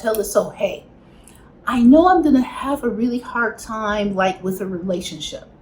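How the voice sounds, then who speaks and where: Noticeable background noise surrounds a voice with a Chicago accent. The pitch swings very widely. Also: woman. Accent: Chicago American English. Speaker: spiritual healing teacher. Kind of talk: spiritual teaching talk to camera.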